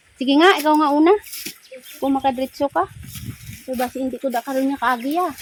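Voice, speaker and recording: A woman talks very fast in a high voice with ordinary pitch variation, leaving long, frequent pauses. Noticeable background noise runs underneath. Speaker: vlogger. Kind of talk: casual vlog narration. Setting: outdoors. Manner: animated.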